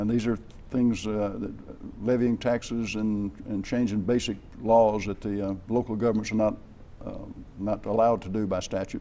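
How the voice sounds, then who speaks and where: Monotone, flat intonation marks a man's fairly low-pitched voice. He keeps a moderate pace broken by long, frequent pauses. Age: 70s. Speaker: state legislator. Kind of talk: TV interview. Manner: halting.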